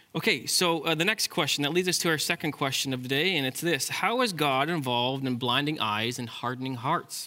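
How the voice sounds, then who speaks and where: A man talks at a fairly quick pace in a normal speaking voice, with hardly any pauses. His fairly high pitch shows ordinary variation, and his loudness stays very even. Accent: Canadian. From Ontario, Canada. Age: 30s. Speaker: pastor. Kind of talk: sermon.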